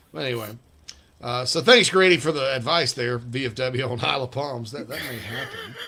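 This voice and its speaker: Speaking with an American accent, a man is heard against noticeable background noise. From South Carolina. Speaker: sports radio host. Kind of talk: casual chat. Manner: animated.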